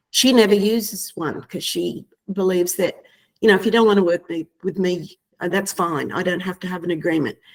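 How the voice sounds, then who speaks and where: A woman with ordinary pitch variation keeps to a medium pitch and a fairly quick pace. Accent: Australian. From Australia (Queensland). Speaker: real estate agent. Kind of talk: webinar discussion.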